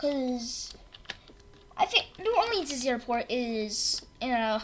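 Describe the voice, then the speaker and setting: With music in the background, a woman is speaking. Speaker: gaming live streamer. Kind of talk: live stream gameplay commentary. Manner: halting, repeats words. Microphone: cheap mic, sounds crappy when loud.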